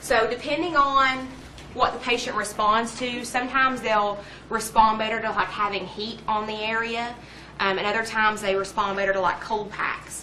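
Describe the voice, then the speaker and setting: A woman's fairly high-pitched voice, with fairly even intonation, comes through amid audible room echo and noticeable background noise. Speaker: pharmacy lecturer. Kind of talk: lecture. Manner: fast.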